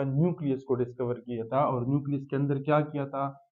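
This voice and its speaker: Speaking with fairly even intonation, a man has a fairly high voice. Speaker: science teacher. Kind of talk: lecture. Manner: slow.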